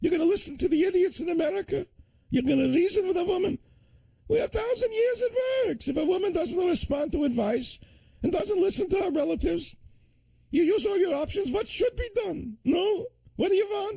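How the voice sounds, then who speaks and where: Man's squeaky put-on character voice, extremely high-pitched, at a fairly quick pace. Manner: mocking.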